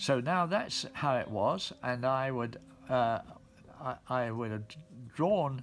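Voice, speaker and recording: Over music in the background, a man at medium pitch speaks at a very slow pace. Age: 90s. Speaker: engraving instructor. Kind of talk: tutorial. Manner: halting.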